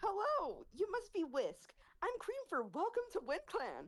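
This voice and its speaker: Using a put-on character voice, a woman speaks at an extremely high pitch with very wide pitch swings. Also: moderate pace. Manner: cheery.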